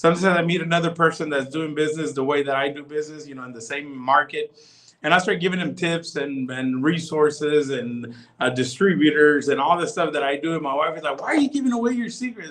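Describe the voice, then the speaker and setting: At a very fast pace, a man with an American accent talks in a fairly high pitch with ordinary pitch variation. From Texas. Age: 40s. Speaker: pastor. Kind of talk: casual chat. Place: home room. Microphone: video call.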